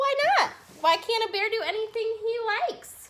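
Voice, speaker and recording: A squeaky, put-on character voice from a woman, extremely high in pitch, at a moderate pace. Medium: read story.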